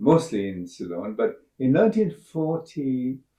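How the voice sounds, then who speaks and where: A man speaks with a Sri Lankan accent. His tone is dark and mellow. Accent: Sri Lankan English, British-educated. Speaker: astrobiologist. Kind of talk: interview. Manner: halting, frequent uh fillers.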